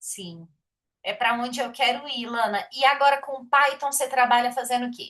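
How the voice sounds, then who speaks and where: Bright and sharp in tone, a woman's high voice moves at a moderate pace with ordinary pitch variation and big swings in loudness. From Minas Gerais, Brazil (Belo Horizonte). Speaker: programmer, study group host. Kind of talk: casual chat. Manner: animated.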